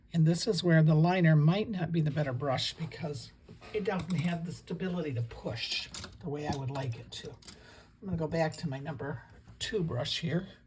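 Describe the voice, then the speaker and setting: A soft-spoken woman with a very deep, low pitch, at a moderate pace with ordinary pitch variation, over noticeable background noise. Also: big swings in loudness. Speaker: watercolor painting teacher. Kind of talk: tutorial. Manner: relaxed, conversational.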